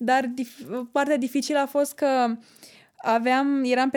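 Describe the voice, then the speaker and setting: Speaking at a moderate pace, a woman with a high-pitched voice is heard in a very clean recording with a silent background. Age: 20s. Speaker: student. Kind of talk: casual chat.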